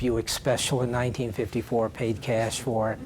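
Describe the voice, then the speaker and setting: Over noticeable background noise, a man speaks at a fairly slow pace with a medium pitch. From US South, Louisville, Kentucky. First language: Yiddish. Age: 70s. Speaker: Holocaust survivors' son, guest speaker. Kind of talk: testimony. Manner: halting, many fillers and repeats.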